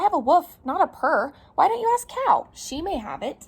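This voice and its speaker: In a put-on character voice, a woman talks at a moderate pace with an extremely high pitch and very wide pitch swings. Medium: read story. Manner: friendly, helpful.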